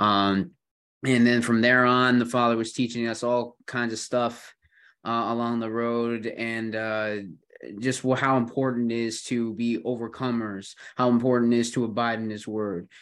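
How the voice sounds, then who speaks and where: In a Western New York accent, a man speaks with monotone, flat intonation at a medium pitch against a quiet background. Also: moderate pace. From Buffalo, New York. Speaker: podcast host. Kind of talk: casual chat. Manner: hesitant, filler-heavy.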